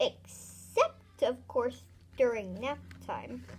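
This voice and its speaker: A woman speaks at a very slow pace in a put-on character voice. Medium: read story. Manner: chirpy, enthusiastic.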